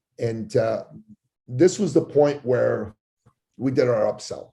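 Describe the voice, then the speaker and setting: This man's voice sits at a medium pitch with ordinary pitch variation. His tone is dark and mellow, and somewhat breathy. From Persian heritage. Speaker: business coach for service professionals. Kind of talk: interview storytelling. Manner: animated.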